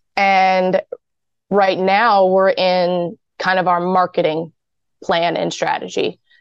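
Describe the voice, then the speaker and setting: The speech is very slow and monotone, with flat intonation and long, frequent pauses, in a dry, close sound with no echo. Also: woman, medium pitch for a woman, very even loudness. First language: not English. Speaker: business founder. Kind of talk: interview.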